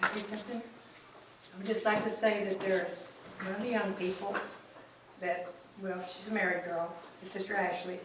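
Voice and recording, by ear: The fairly bright voice moves at a moderate pace with little pitch movement, long, frequent pauses and strong room echo. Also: woman, medium pitch for a woman.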